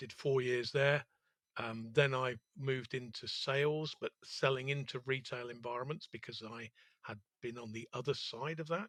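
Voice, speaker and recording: With a London accent, a man of medium pitch speaks at a moderate pace with fairly even intonation and big swings in loudness, in a dry, close sound with no echo. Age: 60s. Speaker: entrepreneur. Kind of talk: interview. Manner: hesitant, with frequent fillers.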